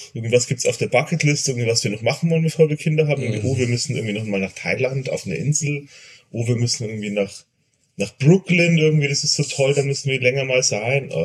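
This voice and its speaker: A man with a medium-pitched voice talks at a very fast pace, his pitch moving in an ordinary way. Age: 40s. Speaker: father of two. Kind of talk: casual chat.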